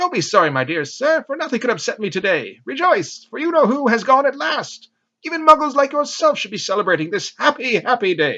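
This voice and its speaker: Squeaky and extremely high-pitched, a man's put-on character voice races along at a fairly quick pace with very wide pitch swings and hardly any pauses. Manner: joyful, exuberant.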